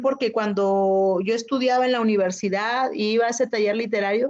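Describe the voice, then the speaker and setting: In a Chiapas accent, a woman speaks at a moderate pace. Her pitch is fairly high, and the background is quiet. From Chiapas, Mexico (Zoque community). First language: Zoque (speaking Spanish). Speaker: poet and writer. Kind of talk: interview conversation. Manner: hesitant, many fillers.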